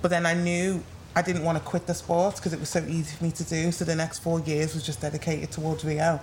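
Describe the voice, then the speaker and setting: Speaking very fast, a woman with an English accent keeps a fairly low pitch and a monotone, flat intonation. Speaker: retired sprinter. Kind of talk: casual chat. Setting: live in-person recording at sports venue.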